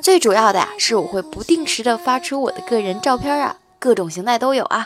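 At a moderate pace, a woman speaks in an animated tone with a high pitch. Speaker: podcast host telling jokes. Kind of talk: joke telling, casual monologue.

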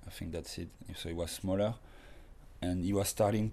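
At a moderate pace, a man with a French accent speaks in a dark, mellow tone at fairly low pitch, his intonation flat and monotone. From France. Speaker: professional skateboarder. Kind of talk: casual interview.

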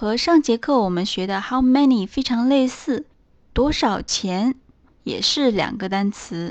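A woman's plain, everyday voice, lively in intonation, at a fairly slow pace. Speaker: English teacher. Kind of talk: lesson tutorial. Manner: slow, repetitive for learners.

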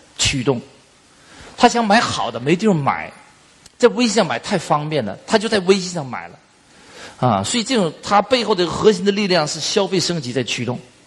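A man at a fairly quick pace, his pitch swinging very widely. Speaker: business trainer. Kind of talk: lecture. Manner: casual, filler-heavy.

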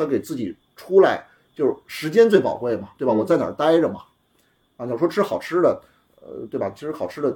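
A man's fairly high, dark, mellow voice with vocal fry, a fairly quick pace, long, frequent pauses, very wide pitch swings and big swings in loudness. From Beijing. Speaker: entrepreneur, car repair shop and cafe founder. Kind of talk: casual chat. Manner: fast, talkative.

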